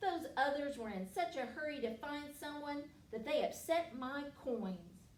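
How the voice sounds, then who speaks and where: A woman puts on a growling character voice, pitched high, speaking at a moderate pace with a slight echo and light background noise. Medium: read story. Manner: growling, grumbling.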